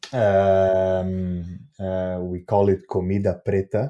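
In a Portuguese accent, a man talks with a very deep, low pitch, a dark, mellow tone and monotone, flat intonation over a quiet background. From Brazil. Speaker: festival curator and cafe founder. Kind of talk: interview. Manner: halting, many fillers.

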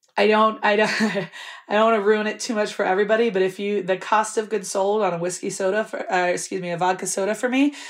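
Noticeable noise sits in the background. Over it, a woman talks at a medium pitch. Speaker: bar owner. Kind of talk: interview. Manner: animated.

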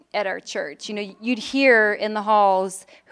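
At a moderate pace, a woman with an American accent and a normal speaking voice shows ordinary pitch variation. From Chicago, Illinois. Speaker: church planter, women's ministry leader. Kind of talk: conference panel discussion.

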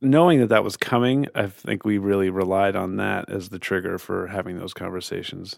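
Fairly low in pitch, a man speaks in a plain, everyday voice at a fairly quick pace with hardly any pauses and ordinary pitch variation. The recording is very clean with a silent background. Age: 50s. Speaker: parent. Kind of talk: interview.

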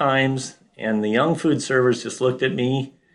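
A man speaks at a moderate pace. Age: 50s. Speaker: father in a family dispute. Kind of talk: casual testimony.

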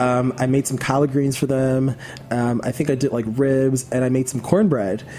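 Intonation stays fairly even as the words come at a moderate pace. Background noise is noticeable. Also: man, medium pitch for a man. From New York City (Queens). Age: 20s. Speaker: chef and online cooking video host. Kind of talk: casual interview chat. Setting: studio.

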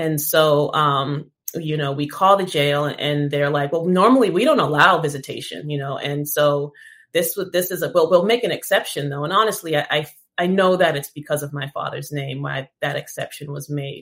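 A woman with an American accent speaks at a very deep, low pitch, her pace moderate and her pitch variation ordinary. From Boston, US Northeast. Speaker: cannabis activist. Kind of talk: interview.

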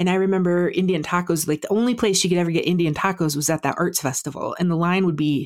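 A woman with an Upper Midwest accent speaks fairly quickly in a fairly low pitch with ordinary pitch variation, in a dry, close, very clean recording with a silent background. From South Dakota. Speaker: podcaster and food blogger. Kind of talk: casual interview.

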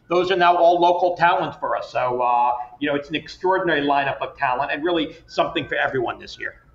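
Very fast talking with hardly any pauses, amid noticeable background noise. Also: man. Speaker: festival founder and wine industry communications exec. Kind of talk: casual interview chat.

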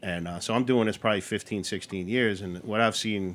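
A man speaks at a fairly low pitch in a New York accent. His intonation stays fairly even. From Queens, New York. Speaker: brewery owner. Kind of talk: casual chat.

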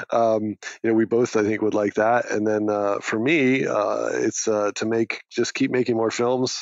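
Speaking with an American accent at a medium pitch, a man keeps a moderate pace, very even loudness, hardly any pauses and a monotone, flat intonation. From New Hampshire, US. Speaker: documentary film director. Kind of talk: interview. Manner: halting, many repetitions.

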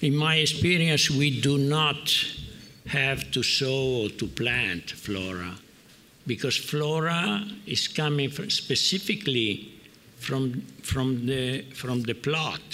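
Speaking very slowly with lively intonation, a man with an Italian accent talks at a medium pitch. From Piedmont, Italy. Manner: halting, searching for words.

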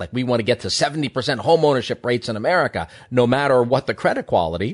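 This is an unremarkable speaking voice from a man at medium pitch. He talks at a fairly quick pace against a quiet background. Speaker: economist and columnist. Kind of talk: radio interview discussion.

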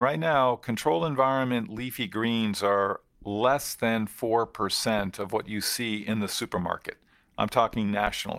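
In a very clean recording with a silent background, a man with an American accent and medium pitch talks at a moderate pace in an ordinary speaking voice. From US Northeast, eastern Connecticut. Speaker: farming company founder. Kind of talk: interview.

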